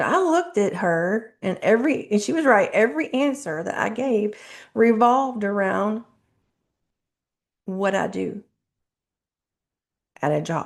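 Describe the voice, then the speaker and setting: A woman mumbles at a fairly slow pace, leaving long, frequent pauses. Her fairly high pitch moves in very wide swings. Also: quiet background. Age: 40s. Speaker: self-help video host. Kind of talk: motivational talk to camera. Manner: mumbling; casual, conversational.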